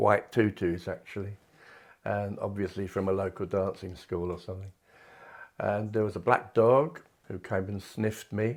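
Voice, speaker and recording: A man with a southern English accent, fairly low in pitch, at a moderate pace. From southern England, Kent. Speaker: retired art teacher and artist. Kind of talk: personal reminiscence interview. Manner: halting, with frequent fillers.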